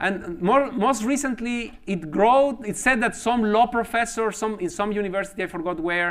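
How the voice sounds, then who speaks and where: A man with a high pitch and lively intonation, at a moderate pace. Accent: Spanish. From Mexico. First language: Spanish. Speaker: mathematics professor. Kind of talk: lecture. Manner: halting, frequent repetitions and fillers.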